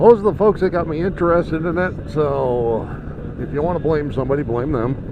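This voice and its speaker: Fairly quick and fairly high, a man talks with ordinary pitch variation against noticeable background noise. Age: 60s. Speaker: motorcycle vlogger. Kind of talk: casual vlog monologue. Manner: halting.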